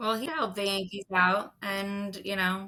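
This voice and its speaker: Moderate pace and fairly even intonation in an American accent. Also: woman. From US Midwest. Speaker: sports betting podcast co-host. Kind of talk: casual chat.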